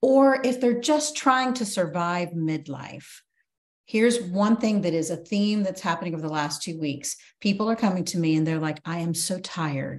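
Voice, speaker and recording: Lively intonation runs through a plain, everyday voice that keeps a moderate pace. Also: woman, fairly low pitch for a woman. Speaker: podcast host. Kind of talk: casual interview chat.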